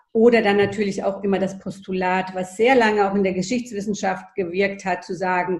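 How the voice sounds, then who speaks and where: The delivery holds a moderate pace, its intonation monotone and flat. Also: woman. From Germany, child of Greek guest workers. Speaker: historian. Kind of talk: interview. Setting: video call. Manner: hesitant, many fillers.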